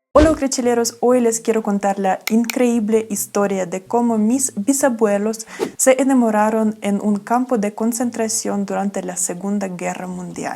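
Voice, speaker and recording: Amid noticeable background noise, a woman with a fairly high pitch talks at a fairly slow pace with hardly any pauses and fairly even intonation. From Ukraine. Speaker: travel vlogger. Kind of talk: storytime talk to camera.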